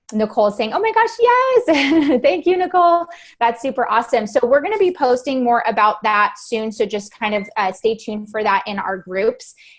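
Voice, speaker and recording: A woman talks in a high voice with lively intonation. She barely pauses at all. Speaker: network marketing leader. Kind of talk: business training call. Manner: fast.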